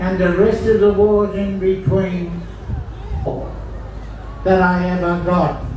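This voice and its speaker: Delivery is very slow, with monotone, flat intonation. Audible room echo and light background noise surround it. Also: man. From Australia. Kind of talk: speech to a rally crowd. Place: street. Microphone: pa.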